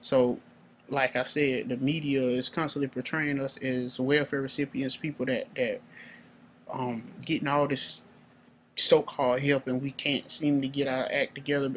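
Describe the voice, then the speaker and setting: A man speaks in an ordinary speaking voice. His pitch is fairly high. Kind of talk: political commentary monologue. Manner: casual, profane, heated.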